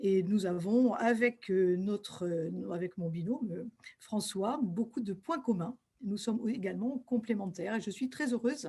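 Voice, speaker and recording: Fairly high-pitched and somewhat breathy, a woman speaks at a fairly slow pace with lively intonation. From western France, Deux-Sèvres. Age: 60s. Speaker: school principal and local candidate. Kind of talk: self-presentation. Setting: video call from her office. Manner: hesitant, frequent fillers.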